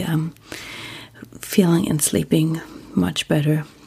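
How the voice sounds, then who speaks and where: With a German accent, a woman speaks in a calm tone at a moderate pace. Noticeable background noise can be heard. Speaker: sleep podcast host. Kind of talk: casual monologue; reading aloud.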